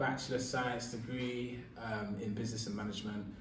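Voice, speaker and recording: A man speaks at medium pitch with a London accent. The recording carries audible room echo and noticeable background noise. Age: 20s. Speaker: radio presenter. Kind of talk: interview.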